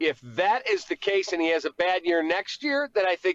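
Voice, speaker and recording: With a Chicago accent, a man talks in lively intonation over a dry, close sound with no echo. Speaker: sports radio host. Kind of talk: casual interview. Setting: phone call from his car.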